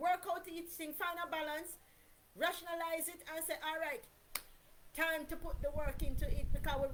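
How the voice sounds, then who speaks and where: A woman speaks loudly at a moderate pace, with ordinary pitch variation. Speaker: vlogger. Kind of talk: personal monologue.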